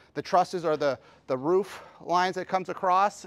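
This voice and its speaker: A high-pitched man at a moderate pace with ordinary pitch variation. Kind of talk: tutorial. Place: street.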